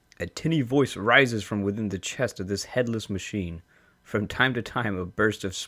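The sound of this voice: We hear an unforced reading voice. The pitch shifts are ordinary.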